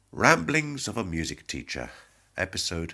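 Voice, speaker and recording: A man with a British accent speaks in a bright, sharp tone with vocal fry. His pitch swings very widely. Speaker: music teacher. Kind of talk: podcast talk.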